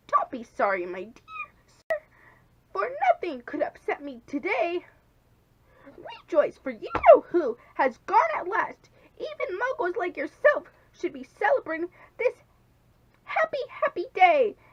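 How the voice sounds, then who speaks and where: Putting on a squeaky character voice at an extremely high pitch, a woman swings her pitch very widely and speaks fairly slowly with long, frequent pauses. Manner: gleeful, jubilant.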